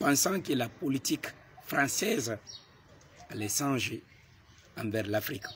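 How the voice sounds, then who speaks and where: A man's medium-pitched voice at a very slow pace, long, frequent pauses and lively intonation, with noticeable background noise. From Guinea. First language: a Guinean language, not French (speaking French). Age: young. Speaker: political activist. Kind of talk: political address to camera.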